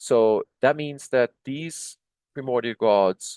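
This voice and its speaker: Recorded dry and close with no echo over a quiet background, a man talks at a very slow pace with a medium pitch and ordinary variation. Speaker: Egyptology video lecturer translating hieroglyphic texts. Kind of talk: lecture. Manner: slow, deliberate; halting, many fillers and restarts.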